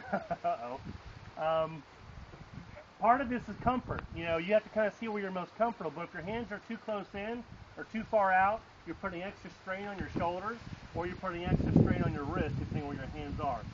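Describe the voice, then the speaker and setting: This man talks at a fairly quick pace in a high pitch, with ordinary pitch variation. Noticeable background noise runs behind him. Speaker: kayak tour guide. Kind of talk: outdoor safety briefing. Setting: outdoors by a road. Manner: loud.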